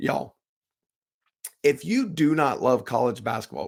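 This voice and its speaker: Speaking at a moderate pace, a man sounds animated, with vocal fry running through his voice. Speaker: sports podcast host. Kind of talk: solo podcast commentary.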